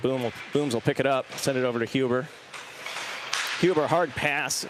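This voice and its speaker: Talking very fast, this medium-pitched man is heard against noticeable background noise. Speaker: hockey play-by-play commentator. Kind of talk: live commentary. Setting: standing by boards in cold rink. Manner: quivering voice from cold.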